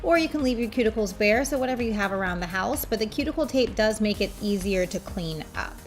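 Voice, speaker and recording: Over music in the background, a woman talks at a very fast pace with very wide pitch swings. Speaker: nail art tutorial creator and polish brand owner. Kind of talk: tutorial. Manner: soft-spoken; casual.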